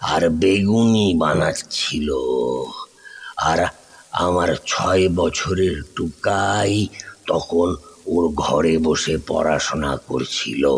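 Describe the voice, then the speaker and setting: A man speaks very slowly in a very deep, low pitch with ordinary pitch variation. His loudness stays very even. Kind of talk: horror narration. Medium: audio drama.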